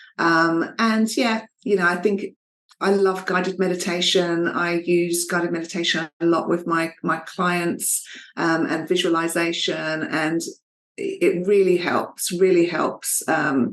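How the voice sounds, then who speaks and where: A woman with an Essex accent speaks at a fairly slow pace, her pitch fairly low and her intonation fairly even. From Essex, England. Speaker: fertility coach. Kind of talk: interview.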